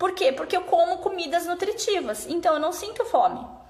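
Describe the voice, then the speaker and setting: Background noise is noticeable in this clip. A woman speaks at a moderate pace. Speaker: fasting and nutrition consultant. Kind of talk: live stream talk. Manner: casual.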